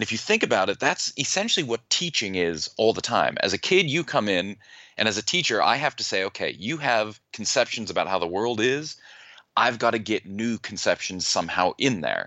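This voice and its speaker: Using an unremarkable speaking voice, a man talks at a fairly quick pace with a medium pitch and lively intonation. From United States. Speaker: neuroscientist and author. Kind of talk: interview.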